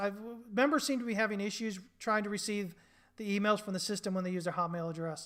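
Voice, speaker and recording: Raised and projected, a man's high-pitched voice has a bright, sharp tone and ordinary pitch variation. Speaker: trading educator and market analyst. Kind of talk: live market commentary.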